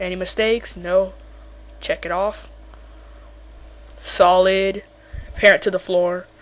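Speech at a moderate pace with noticeable background noise. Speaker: game-making tutorial maker. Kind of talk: tutorial. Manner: halting, stuttering.

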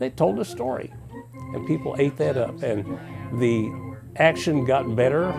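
Clear music plays behind a man who speaks at a fairly slow pace. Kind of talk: interview answer. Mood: calm, reflective. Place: home room. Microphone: lapel.

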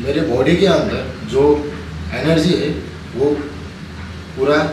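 Male voice with ordinary pitch variation, noticeable background noise and audible room echo. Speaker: fitness vlogger. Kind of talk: casual vlog chat. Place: kitchen. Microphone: phone near.

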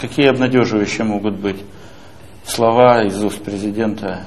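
Against light background noise, a man speaks at a very slow pace. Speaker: newspaper editor. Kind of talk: press interview. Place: office.

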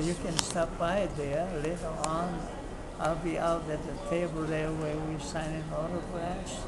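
A man talks fairly slowly as loud background noise sounds around him. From Hawaii. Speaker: war veteran. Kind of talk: interview answer. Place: street. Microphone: phone near.

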